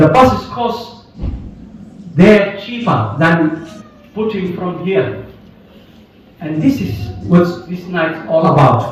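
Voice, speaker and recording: Very slowly, a man speaks with long, frequent pauses at a high pitch with very wide pitch swings. Noticeable background noise and audible room echo surround him. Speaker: event host at a charity fundraiser. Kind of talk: live event hosting. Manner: loud.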